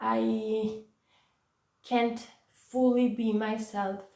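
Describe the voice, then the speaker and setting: There is audible room echo around a woman whose fairly high voice has a dark, mellow tone. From Italy, Florence. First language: Italian. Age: 20s. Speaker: vlogger with chronic pain. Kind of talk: personal testimony vlog. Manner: hesitant, many fillers.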